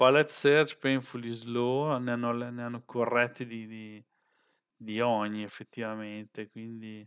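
A man at a fairly slow pace, monotone and flat in intonation, with big swings in loudness over a quiet background. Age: 40s. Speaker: software developer and tech streamer; tech streamer. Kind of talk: live stream tutorial. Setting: live stream with webcam. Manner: casual, chatty. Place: home room. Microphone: headset.

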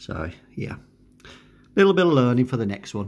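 A man's medium-pitched voice with big pitch swings at a moderate pace

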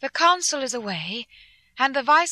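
A raised, projected voice with a bright, sharp tone moves at a fairly slow pace, the sound dry and close with no echo against a quiet background. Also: woman. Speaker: audiobook narrator. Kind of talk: dramatic audiobook narration of journal entries. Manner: earnest, tense, emotional, brisk.

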